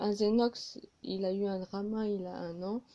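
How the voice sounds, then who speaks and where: A woman's medium pitch in a dark, mellow tone, with monotone, flat intonation at a very slow pace. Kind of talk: improvised casual reaction video to camera. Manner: hesitant, with pauses.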